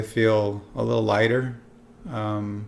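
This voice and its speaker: Flat and monotone, a man speaks with a fairly low pitch. Audible room echo fills the recording. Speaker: vlogger documenting benzodiazepine withdrawal. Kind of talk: personal video diary. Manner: halting, with stumbles and fillers.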